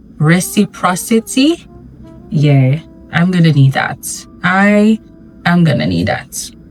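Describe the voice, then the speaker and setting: With noticeable background noise behind her, a woman speaks in a fairly low voice with lively intonation. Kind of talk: casual talk to camera. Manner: chatty, candid.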